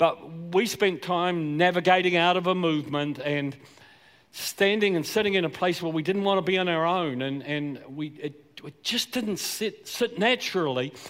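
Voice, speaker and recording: With a Southland New Zealand accent, a man speaks at a high pitch and moderate pace with ordinary pitch variation. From New Zealand, Southland. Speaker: pastor. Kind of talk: sermon. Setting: church.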